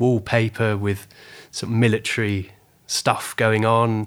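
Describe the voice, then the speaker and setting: In a very clean recording with a silent background, a man speaks at a medium pitch with a southern English accent. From southern England (Weymouth, Dorset). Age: 40s. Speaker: photographer. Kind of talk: interview.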